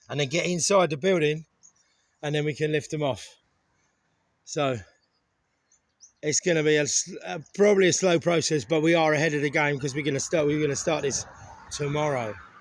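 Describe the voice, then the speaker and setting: With an English accent, a man talks at a fairly quick pace and a fairly high pitch, with ordinary pitch variation and long, frequent pauses. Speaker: renovation vlogger. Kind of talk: casual vlog narration.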